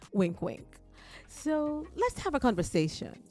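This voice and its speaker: A woman speaks in an upbeat tone at a very slow pace, her pitch swinging very widely. Music plays in the background. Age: 60s. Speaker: beauty vlogger. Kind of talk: casual makeup tutorial to camera. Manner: upbeat, chatty.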